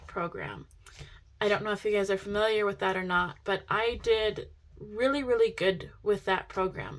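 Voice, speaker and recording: The voice belongs to a woman and sits at a fairly high pitch. Her pitch variation is ordinary. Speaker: budgeting vlogger. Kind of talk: casual tutorial vlog. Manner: excited.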